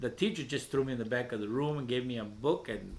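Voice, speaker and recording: A man with a Spanish accent, medium pitch and ordinary pitch variation. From Veracruz, Mexico. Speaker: poet and open mic host. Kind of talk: interview. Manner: halting, many repetitions.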